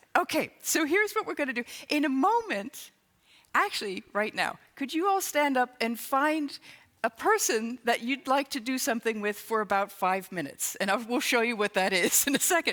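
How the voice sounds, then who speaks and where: Bright, sharp and upbeat, a woman speaks at a moderate pace in a high pitch with very wide pitch swings. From England. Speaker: improv consultant and comedy teacher. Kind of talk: keynote talk on stage. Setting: stage with PA system. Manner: upbeat, humorous.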